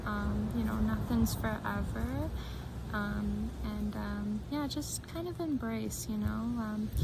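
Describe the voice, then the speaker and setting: Over noticeable background noise, a soft-spoken woman whispers at a very slow pace. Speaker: tarot reader. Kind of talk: soft-spoken tarot reading to camera. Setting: outdoors. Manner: soft-spoken, occasional whispers.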